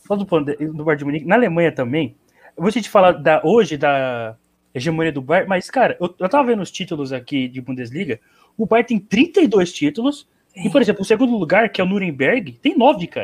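Using very wide pitch swings, a man talks in a high pitch at a fairly quick pace. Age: young. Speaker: football podcast panelist. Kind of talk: casual chat.

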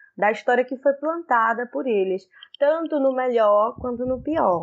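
High-pitched female speech, moderately paced, with ordinary rises and falls in pitch. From Pernambuco, Brazil. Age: 20s. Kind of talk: casual chat.

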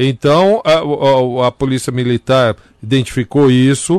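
A man talks at medium pitch with ordinary pitch variation. The sound is dry and close, with no echo. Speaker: radio comedian co-host. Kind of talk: comedic casual chat. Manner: animated.

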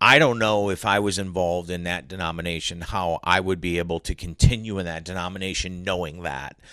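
A man with a Northeast Ohio accent speaks at a fairly quick pace with a very deep, low pitch, a bright, sharp tone and fairly even intonation. He leaves hardly any pauses, over a quiet background. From Cleveland, Ohio. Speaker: sports reporter and broadcaster. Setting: in person, studio.

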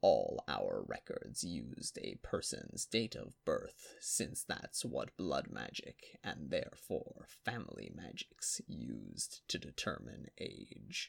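A man talks at a fairly slow pace in a put-on character voice. His delivery is raspy and has hardly any pauses. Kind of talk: fantasy audiobook character voice. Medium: read story. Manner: grand, formal storytelling, shifting to agitated.

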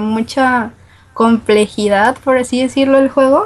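In a northern Mexican accent, a woman speaks at a high pitch and a fairly slow pace with ordinary pitch variation. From Guadalajara, Mexico. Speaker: listener caller. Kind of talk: casual chat.

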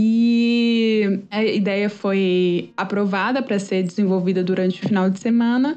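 A normal speaking voice from a woman at medium pitch, fairly slow and with hardly any pauses, very even in loudness and fairly even in intonation. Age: 30s. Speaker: startup founder. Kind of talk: interview.

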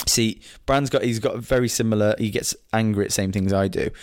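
In an English accent, a man speaks at a moderate pace and medium pitch. The recording is very clean, with a silent background. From England. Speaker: football podcast co-host. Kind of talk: casual chat.

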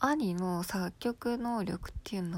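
On a very clean recording with a silent background, the words come very slowly. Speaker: solo podcaster. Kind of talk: casual monologue. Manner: frequent laughter, filler-heavy; halting, self-correcting.

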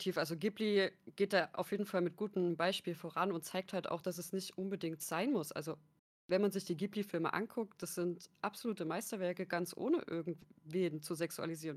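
Fairly even intonation at a moderate pace, in a normal speaking voice. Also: woman. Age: 20s. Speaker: content creator and sociology student. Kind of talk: casual chat.

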